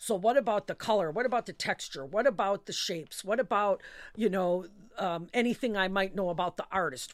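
A woman with an American accent and a normal speaking voice, medium pitch, lively intonation and a fairly quick pace, on a very clean recording with a silent background. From Milwaukee, Wisconsin (US Midwest). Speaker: poet and professor. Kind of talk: interview. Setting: studio.

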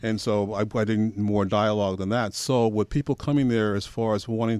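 A man with an American accent talks at a fairly quick pace in a fairly low pitch. He has an unremarkable speaking voice, captured on a very clean recording with a silent background. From Portland, Oregon. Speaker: filmmaker and historian. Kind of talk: radio interview. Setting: radio studio.

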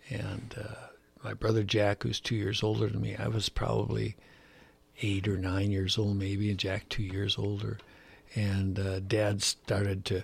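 With an American accent, a man speaks fairly slowly in a fairly low, somewhat breathy voice, his intonation monotone and flat, broken by long, frequent pauses. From US Midwest, Chicago. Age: 80s+. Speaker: retired gill netter. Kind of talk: interview, life story.

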